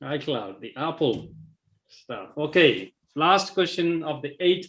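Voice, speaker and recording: With a non-native accent and vocal fry, a man speaks at a very slow pace in a fairly high pitch, his intonation lively. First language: not English. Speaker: quiz co-host. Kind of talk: live quiz hosting.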